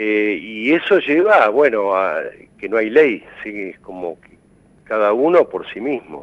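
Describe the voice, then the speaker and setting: The speaker talks at a very slow pace. The intonation is lively. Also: man, medium pitch for a man. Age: 60s. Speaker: mental health expert. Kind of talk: TV interview. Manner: halting.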